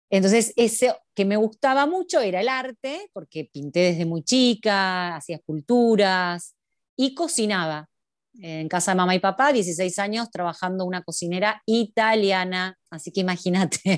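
On a very clean recording with a silent background and a dry, close sound with no echo, a woman uses a normal speaking voice at medium pitch, with ordinary pitch variation and a moderate pace. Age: 30s. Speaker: cooking and art teacher. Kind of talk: interview.

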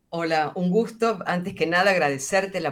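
With an Argentine accent, a woman speaks at a fairly low pitch with ordinary pitch variation. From central Argentina. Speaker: bioethics scholar. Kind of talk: interview.

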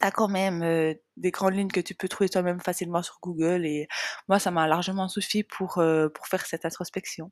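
The recording is very clean, with a silent background and a dry, close sound with no echo. A woman speaks at a moderate pace in a medium pitch. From Switzerland, Jura region. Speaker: nutrition coach and podcast host. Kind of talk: personal storytelling monologue. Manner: unscripted, hesitant with fillers.

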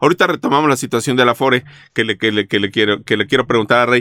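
In a Mexican accent, a man talks at a very fast pace with a medium pitch and a bright, sharp tone, the recording very clean with a silent background and a dry, close sound with no echo. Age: 50s. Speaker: insurance podcast host. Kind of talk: casual interview.

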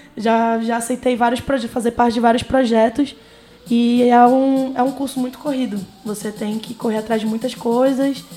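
Over noticeable background noise, a woman with a high-pitched voice talks at a moderate pace in a flat, monotone delivery. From Amazonas, northern Brazil. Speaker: university student. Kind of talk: casual interview.

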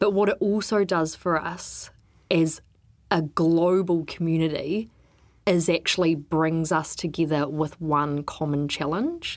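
With a New Zealand accent, a woman speaks at a fairly slow pace in a fairly low voice with fairly even intonation, against a quiet background. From New Zealand, Wellington. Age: 30s. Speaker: freshwater ecologist and regional councillor. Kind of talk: interview.

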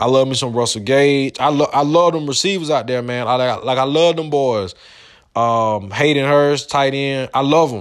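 A man's fairly high voice at a moderate pace, with ordinary pitch variation. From US South, Georgia. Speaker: podcast host. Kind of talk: motivational monologue. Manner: frequent repetitions and false starts.

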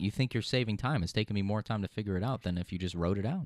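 Talking at a very fast pace, a man comes through a very clean recording with a silent background and a dry, close sound with no echo. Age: 20s. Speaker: podcast co-host and producer. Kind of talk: casual chat. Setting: studio.

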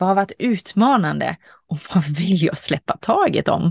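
At a fairly slow pace, a woman speaks at fairly low pitch with vocal fry and ordinary pitch variation, in a dry, close sound with no echo and a quiet background. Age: 40s. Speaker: podcast host. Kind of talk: reflective monologue.

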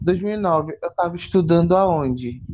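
A man talks very slowly in a high pitch that shows ordinary variation. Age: 20s. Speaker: podcast co-host. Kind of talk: casual chat. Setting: lying in a hammock in his bedroom. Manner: animated.

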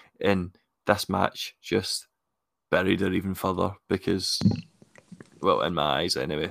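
A man with a Scottish accent and a very deep, low pitch talks at a fairly slow pace with fairly even intonation and long, frequent pauses, in a dry, close sound with no echo. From Scotland. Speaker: wrestling podcast co-host. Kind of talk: casual chat.

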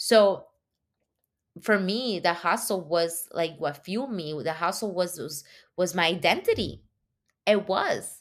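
A woman's medium-pitched voice at a fairly slow pace, with long, frequent pauses and ordinary pitch variation, in a very clean recording over a silent background. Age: 30s. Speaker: podcast host. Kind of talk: casual solo monologue. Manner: animated, repetitive false starts.

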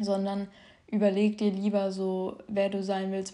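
A woman's medium-pitched, dark, mellow voice with monotone, flat intonation. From southern Hesse, Germany. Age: young. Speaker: podcast host sharing eating disorder recovery. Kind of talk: casual monologue. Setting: home, her bedroom. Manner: spontaneous, unscripted with many fillers.

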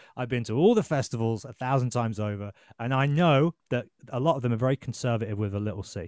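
Over a quiet background, a man with a Birmingham accent talks at a very fast pace in a medium pitch with ordinary pitch variation, the sound dry and close with no echo. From England, Birmingham. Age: 30s. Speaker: journalist and podcast host. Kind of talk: casual chat.

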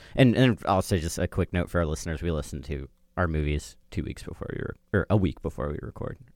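A man speaks at a very fast pace in a very deep, low voice with lively intonation and vocal fry, on a very clean recording with a silent background and a dry, close sound with no echo. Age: 20s. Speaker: podcast host and producer. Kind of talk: casual chat.

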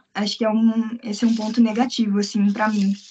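Her fairly high voice is somewhat breathy, and the woman speaks in a flat monotone. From Brazil, Curitiba. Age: 20s. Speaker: English teacher living abroad. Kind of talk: casual interview.

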